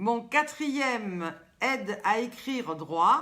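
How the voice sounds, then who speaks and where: In a southern French accent, a woman speaks with a high pitch, a bright, sharp, animated tone and very wide pitch swings. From southern France. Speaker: live stream host. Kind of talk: casual live stream chat. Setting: live video stream.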